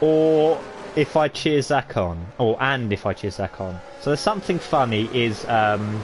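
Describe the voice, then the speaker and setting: With a British accent, a man speaks at a fairly slow pace, his pitch swinging very widely, over noticeable background noise. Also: medium pitch for a man. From Britain. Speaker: sim racing league commentator. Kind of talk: live commentary. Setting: live stream. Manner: casual, chatty; animated.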